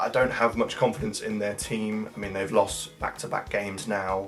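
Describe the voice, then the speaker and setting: With music in the background, a man speaks at a moderate pace in a fairly low voice. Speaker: football fan, drama graduate. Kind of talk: casual talk to camera.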